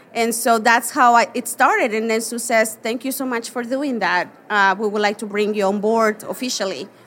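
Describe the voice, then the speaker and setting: In a Mexican accent, a woman with a fairly high pitch speaks fairly slowly with fairly even intonation and hardly any pauses, while noticeable background noise runs behind her. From Mexico. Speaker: portrait photographer. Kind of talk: live interview. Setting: stage with audience.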